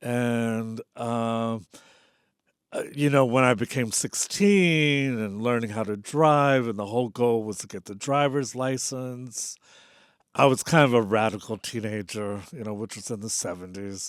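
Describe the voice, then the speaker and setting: Recorded very cleanly against a silent background, a man at a medium pitch speaks at a fairly slow pace with ordinary pitch variation and big swings in loudness. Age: 60s. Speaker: poet, teacher and musician. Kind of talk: interview. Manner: halting.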